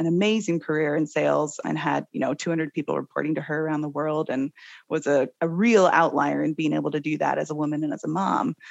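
With an American accent, a woman talks at a fairly quick pace in a very deep, low pitch with vocal fry and ordinary pitch variation, against a quiet background. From Seattle, US. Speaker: company co-founder. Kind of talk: interview conversation.

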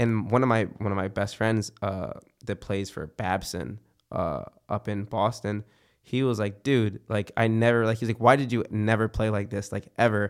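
A man with an American accent and a normal speaking voice, fairly low in pitch, fairly even in intonation, at a moderate pace, in a very clean recording with a silent background. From Philadelphia, US Northeast. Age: 20s. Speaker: musician and university student. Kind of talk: casual chat.

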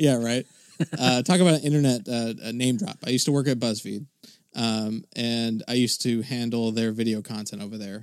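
This man has a normal speaking voice and an American accent at medium pitch. He talks at a fairly quick pace with ordinary pitch variation. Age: 20s. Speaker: podcast producer. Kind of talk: casual chat.

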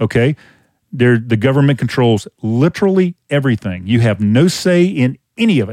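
On a very clean recording with a silent background and a dry, close sound with no echo, a man with a Louisiana accent speaks at a moderate pace and medium pitch, his tone dark and mellow and his intonation lively. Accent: Southern US (Louisiana). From Louisiana, Covington. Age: 50s. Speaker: open air preacher and apologetics teacher. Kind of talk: casual interview conversation; sermon-like exhortation.

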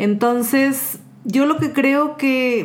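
Audible room echo hangs on a woman's voice as she talks. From Mexico. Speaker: social communicator and feminist activist. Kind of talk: casual chat.

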